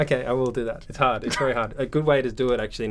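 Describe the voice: Talking at a very fast pace, a man with an Australian accent keeps a medium pitch and a monotone, flat intonation.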